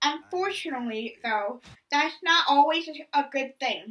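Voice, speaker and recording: A woman speaks at a very slow pace in a high pitch. Her tone is bright and sharp, with ordinary pitch variation. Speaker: movie reviewer. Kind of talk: scripted review narration. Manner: stuttering.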